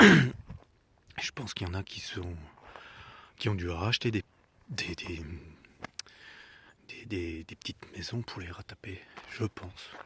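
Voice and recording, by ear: A soft-spoken, whispering man with a husky, rough edge, at a slow pace with long, frequent pauses.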